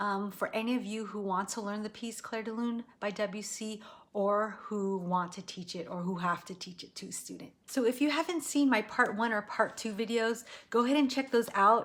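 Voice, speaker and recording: A woman speaks in a plain, everyday voice with an American accent, fairly high in pitch with ordinary pitch variation. Her pace is moderate. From United States. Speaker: piano teacher. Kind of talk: tutorial. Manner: casual, with fillers.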